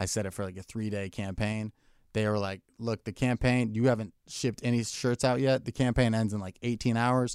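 On a very clean recording with a silent background and dry, close sound without echo, a man with an unremarkable speaking voice talks fairly quickly at a medium pitch, his intonation fairly even. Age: 20s. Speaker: comedian. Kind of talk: casual chat. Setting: studio.

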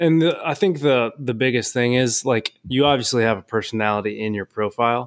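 Here a man with a General American accent speaks fairly quickly in an unremarkable speaking voice, medium in pitch with ordinary pitch variation. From Cincinnati, Ohio. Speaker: co-host boyfriend. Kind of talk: casual chat.

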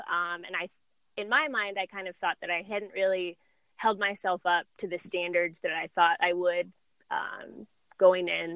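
An unremarkable speaking voice from a woman with an American accent, at medium pitch and moderate pace, in a dry, close sound with no echo. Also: ordinary pitch variation. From US West Coast, San Diego. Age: 20s. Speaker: amateur runner and foot and ankle surgeon. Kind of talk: casual interview.

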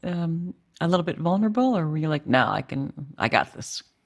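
A woman with a fairly low pitch uses a normal speaking voice at a moderate pace, her pitch variation ordinary. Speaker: podcast host. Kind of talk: interview chat.

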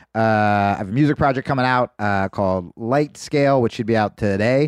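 With a dry, close sound, no echo and a quiet background, a man talks at a moderate pace in an ordinary speaking voice with lively intonation. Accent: American. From New Jersey suburbs. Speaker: comedian. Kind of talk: casual chat. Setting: studio.

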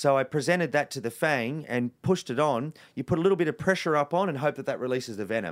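With hardly any pauses, a man with an Australian accent and a fairly high pitch talks at a very fast pace with ordinary pitch variation, in a very clean recording with a silent background. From Western Sydney, Australia. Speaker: wildlife conservationist and TV presenter. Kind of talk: interview conversation. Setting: in person.

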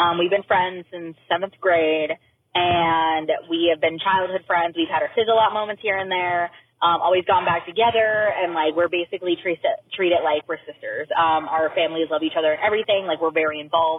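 Using a normal speaking voice, a woman talks at a fairly quick pace with fairly low pitch and fairly even intonation. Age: 20s. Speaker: listener caller. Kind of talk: voicemail story. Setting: recorded phone message.

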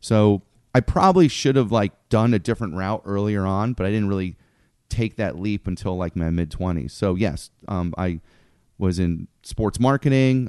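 With an unremarkable speaking voice, a man talks at a moderate pace and a fairly low pitch, in a dry, close sound with no echo against a quiet background. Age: 40s. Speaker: comedy club owner. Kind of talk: casual chat.

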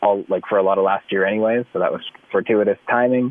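Speaking at a fairly quick pace, a man with a fairly low pitch has a normal speaking voice. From Canada. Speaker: country singer and actor. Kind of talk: casual chat.

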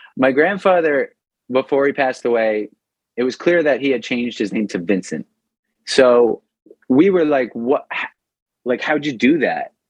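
A man in a New York accent talks at a moderate pace and medium pitch with lively intonation and long, frequent pauses, the sound dry and close with no echo. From New York, Long Island. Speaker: punk rock vocalist. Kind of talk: casual interview. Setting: at home kitchen, remote call.

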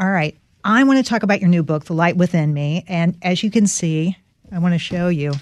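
A woman with an American accent and an unremarkable speaking voice, fairly low in pitch, at a fairly quick pace with ordinary pitch variation. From North Carolina. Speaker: podcast host, financial journalist. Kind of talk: interview.

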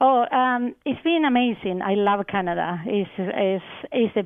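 This woman speaks with a Spanish accent. Her pitch is medium, with ordinary variation. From Argentina. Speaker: research scientist. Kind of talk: radio interview. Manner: hesitant, many fillers.

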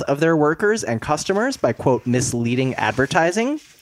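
At a fairly quick pace, a man with an ordinary speaking voice talks at a fairly high pitch with lively intonation. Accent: American. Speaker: podcast guest. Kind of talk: casual chat.

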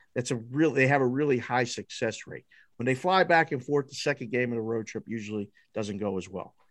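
A man with an American accent and a plain, everyday voice talks at a fairly quick pace in a medium pitch. Ordinary pitch variation carries over a quiet background. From Pittsburgh, Pennsylvania. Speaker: sports betting odds maker. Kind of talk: casual chat. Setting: studio.

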